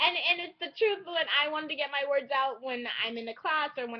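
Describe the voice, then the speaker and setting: Talking at a fairly quick pace, a woman speaks with a Californian accent. Her intonation is lively. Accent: Californian American English. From California, San Francisco Bay Area. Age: 20s. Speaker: student vlogger. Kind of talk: personal vlog monologue.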